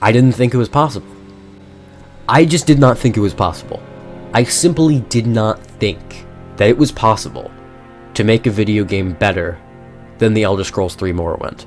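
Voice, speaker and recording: Music plays in the background as the speaker moves at a moderate pace with lively intonation and long, frequent pauses. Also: man. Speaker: gaming video creator. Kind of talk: casual game review talk. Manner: hesitant, many filler words.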